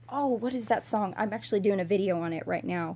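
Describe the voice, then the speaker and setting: A woman is speaking. Her pace is moderate. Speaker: video blogger. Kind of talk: casual livestream talk.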